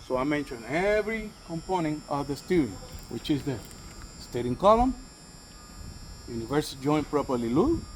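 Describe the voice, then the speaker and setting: A man talks at a moderate pace, his pitch swinging very widely, with noticeable background noise behind him. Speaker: bus driver trainee demonstrating inspection. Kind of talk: tutorial.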